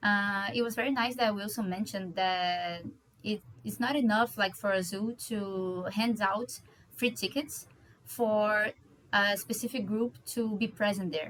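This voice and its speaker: The speaker moves at a fairly slow pace. Pitch variation is ordinary. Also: woman, medium pitch for a woman. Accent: Portuguese. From Brazil (Rio de Janeiro). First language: Portuguese. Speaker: doctoral researcher. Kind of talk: conference presentation. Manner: hesitant, with fillers.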